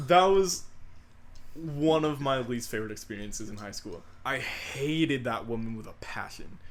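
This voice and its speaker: With an animated tone and lively intonation, a man speaks at medium pitch and a moderate pace. His loudness swings widely, and audible room echo is present. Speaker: podcast co-host. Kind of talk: casual chat.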